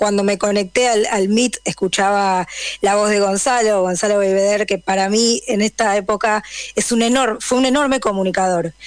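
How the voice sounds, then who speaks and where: A woman speaks at a moderate pace with fairly even intonation, in an ordinary speaking voice. The recording is very clean, with a silent background. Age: 30s. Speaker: journalist. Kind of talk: radio interview.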